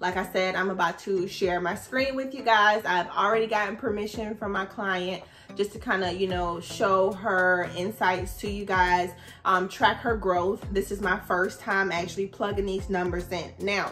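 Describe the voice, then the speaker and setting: Over music in the background, a woman with a medium-pitched voice talks at a moderate pace with fairly even intonation. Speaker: social media marketing coach. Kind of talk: tutorial. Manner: casual.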